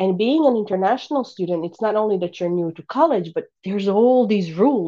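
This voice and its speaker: A woman with a Bosnian accent speaks fairly quickly with hardly any pauses, her medium-pitched voice dark and mellow in tone, with lively intonation. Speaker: life coach and podcast host. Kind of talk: casual interview chat.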